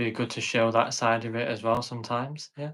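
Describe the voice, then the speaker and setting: Here is a man with a Yorkshire accent at a medium pitch. He keeps a moderate pace and a monotone, flat intonation. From northern England, Sheffield. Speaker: content creator who stutters. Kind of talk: interview.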